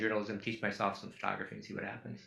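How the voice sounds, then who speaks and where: With an American accent, a man speaks in a bright, sharp tone against audible room echo. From Duluth, Minnesota, US Midwest. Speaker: photographer. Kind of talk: public talk with slides. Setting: auditorium with audience.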